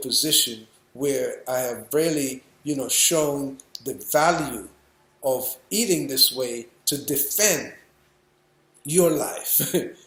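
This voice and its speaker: Over audible room echo, a man with a fairly high pitch and a bright, sharp tone speaks at a very slow pace with ordinary pitch variation. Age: 60s. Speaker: raw food chef and educator. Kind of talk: lecture. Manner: halting.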